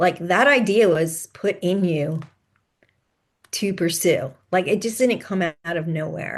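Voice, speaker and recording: A woman speaks at medium pitch with ordinary pitch variation, in an ordinary speaking voice. The background is quiet. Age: 60s. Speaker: podcast host and author, mother of sons with ADHD. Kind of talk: interview conversation.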